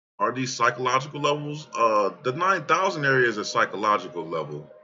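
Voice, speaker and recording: A man talks in an unremarkable speaking voice at medium pitch. His pace is fairly quick. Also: lively intonation. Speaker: crypto trading youtuber. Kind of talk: market analysis screen-share commentary. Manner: casual, filler-heavy.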